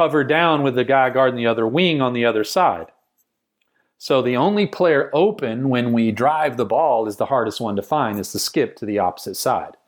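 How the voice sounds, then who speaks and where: A man with a Texan accent talks at a moderate pace and a medium pitch. His intonation is lively. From rural Texas. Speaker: basketball coach and business founder. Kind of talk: casual interview conversation.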